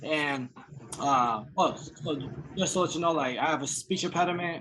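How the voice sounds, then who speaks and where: A man's fairly high voice in an American accent, at a moderate pace with ordinary pitch variation, over noticeable background noise. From US East Coast, raised partly mid-South. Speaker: rapper. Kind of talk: casual interview. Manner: halting, repeating words.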